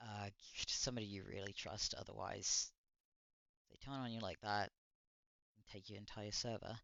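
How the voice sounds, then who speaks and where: Mumbling in a fairly low voice with fairly even intonation, a man leaves long, frequent pauses while his loudness swings widely. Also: moderate pace. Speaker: streamer reacting to videos. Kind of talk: casual livestream reaction commentary. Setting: livestream. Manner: halting, many restarts.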